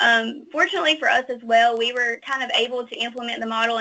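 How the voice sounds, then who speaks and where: A woman talks at a fairly quick pace in a fairly high pitch. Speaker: hospital stroke coordinator. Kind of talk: webinar presentation. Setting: webinar call. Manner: fast.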